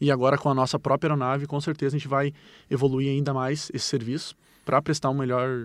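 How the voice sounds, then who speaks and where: A man talks very fast at a fairly high pitch in a monotone, flat intonation. The recording is very clean, with a silent background. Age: 30s. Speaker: firefighter. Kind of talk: interview answers.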